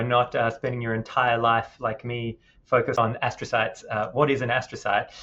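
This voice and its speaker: A man with an Australian accent talks at a medium pitch. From Western Australia. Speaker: neuroscientist. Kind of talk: interview.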